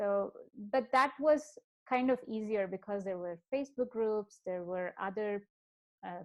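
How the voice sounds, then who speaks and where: Someone with a slight Indian accent speaks at a fairly slow pace with ordinary pitch variation. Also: woman. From South India, Bangalore. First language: Kannada and Telugu. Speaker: podcast guest, software professional. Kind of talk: interview. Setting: video call. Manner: hesitant, many fillers.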